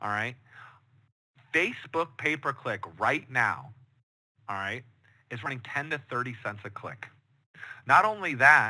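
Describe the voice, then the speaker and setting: Lively intonation in an American accent, with a bright, sharp tone, a fairly slow pace, long, frequent pauses and big swings in loudness. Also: man, medium pitch for a man. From Chicago, US Midwest. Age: 30s. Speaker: digital marketing director. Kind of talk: online training workshop. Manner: many filler words.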